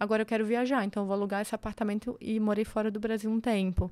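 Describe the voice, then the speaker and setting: At a very fast pace, a woman speaks in a fairly high pitch with a dark, mellow tone. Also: very clean recording, silent background. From Santa Catarina, Brazil (Serra, near Lages). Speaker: construction entrepreneur and mentor. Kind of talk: podcast interview.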